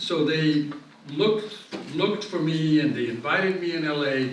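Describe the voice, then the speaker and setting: A man whose voice sits fairly high talks at a moderate pace and varies his pitch in an ordinary way, with audible room echo and noticeable background noise around him. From Italy, Rome. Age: 70s. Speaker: glass artist. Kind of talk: lecture. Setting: museum hall with audience.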